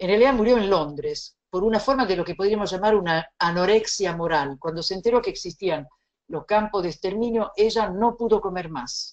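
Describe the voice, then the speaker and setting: A woman speaks with a slight Italian accent at a medium pitch. Her pace is moderate, and her pitch varies in an ordinary way. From Italy. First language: Italian (speaking Spanish). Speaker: bioethics lecturer. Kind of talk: lecture.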